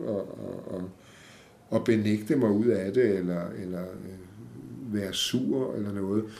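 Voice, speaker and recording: Amid audible room echo, a man talks at a fairly slow pace and medium pitch in a dark, mellow tone with ordinary pitch variation. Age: 60s. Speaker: podcast guest with multiple sclerosis. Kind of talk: interview. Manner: halting.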